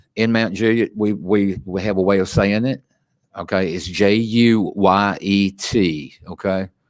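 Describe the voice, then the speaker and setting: Speaking with a Tennessee accent, a man uses a fairly low pitch and fairly even intonation at a fairly slow pace. The recording is very clean, with a silent background. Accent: Southern US, Tennessee. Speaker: city commissioner. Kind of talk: public meeting remarks.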